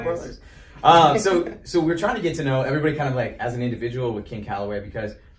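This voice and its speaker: Lively intonation comes through at a very fast pace against noticeable background noise. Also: man. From South Dakota. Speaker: radio show host. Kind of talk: casual interview questions.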